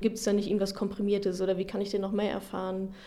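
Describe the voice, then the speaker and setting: A woman's medium-pitched voice moves along at a fairly quick pace. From Ruhr area, Germany. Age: 30s. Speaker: finance blogger. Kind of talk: interview.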